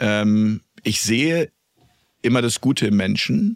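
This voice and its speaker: The dry, close sound with no echo captures a man with fairly low pitch and ordinary pitch variation. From Lippe, Germany. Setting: studio.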